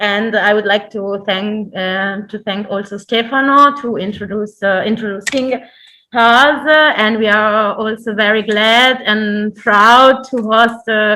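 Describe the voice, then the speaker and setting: In a non-native accent, a woman talks at a fairly slow pace with a fairly high pitch, a bright, sharp tone and fairly even intonation. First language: not English. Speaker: cultural institute representative. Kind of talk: formal welcome speech. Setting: online event. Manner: halting.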